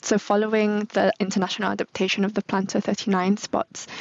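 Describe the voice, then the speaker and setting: The sound is dry and close, with no echo. A woman talks at a medium pitch and a fairly quick pace. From northern England. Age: 30s. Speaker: brand manager. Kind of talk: interview.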